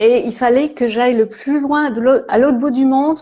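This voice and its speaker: A dark, mellow tone moves at a moderate pace with ordinary pitch variation. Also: woman. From France, Alsace (Strasbourg). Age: 60s. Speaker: holistic therapist and coach. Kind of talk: live interview, casual chat. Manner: hesitant, many fillers.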